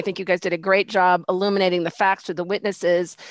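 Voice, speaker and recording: A woman's voice, dry and echo-free, against a quiet background. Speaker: judge. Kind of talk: presiding over mock hearing. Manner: hesitant, many fillers. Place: home room. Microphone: headset.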